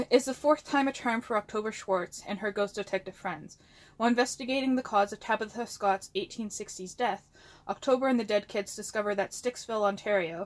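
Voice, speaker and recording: A fairly quick pace with ordinary pitch variation. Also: woman. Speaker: book vlogger. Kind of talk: casual vlog chat. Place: home room. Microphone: phone near.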